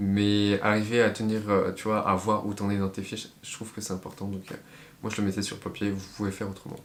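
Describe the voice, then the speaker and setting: Speaking in a monotone with flat intonation, a man keeps his pitch fairly low. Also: fairly quick pace. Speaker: medical student vlogger. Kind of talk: casual tutorial vlog. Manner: hesitant with many fillers.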